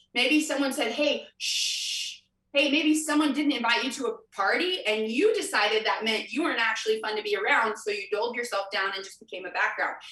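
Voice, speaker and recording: With an American accent, a woman talks in an animated tone at a fairly high pitch and a fairly quick pace, with audible room echo. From US Midwest, Kansas City. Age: 20s. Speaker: motivational speaker. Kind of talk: convention breakout talk.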